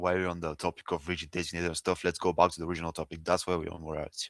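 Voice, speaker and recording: A man with a very deep, low voice talks very fast in a non-native accent, with monotone, flat intonation. The recording is very clean, silent in the background, and dry and close with no echo. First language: not English. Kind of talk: heated debate. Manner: trails off, gets quiet.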